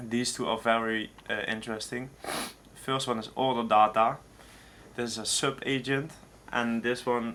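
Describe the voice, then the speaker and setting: This man's voice has a bright, sharp tone and a medium pitch. He speaks at a moderate pace with monotone, flat intonation. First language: not English. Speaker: tech tutorial creator. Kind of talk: screen-share tutorial. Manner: halting, many fillers.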